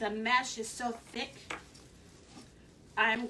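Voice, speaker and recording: A woman's raised, projected voice at a fairly slow pace, with audible room echo. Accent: American. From Philadelphia. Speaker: craft video host. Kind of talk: live craft tutorial.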